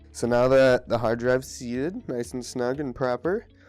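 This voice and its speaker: A man's medium-pitched voice at a moderate pace, with music in the background. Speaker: computer repair tutorial maker. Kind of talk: tutorial narration. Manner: casual.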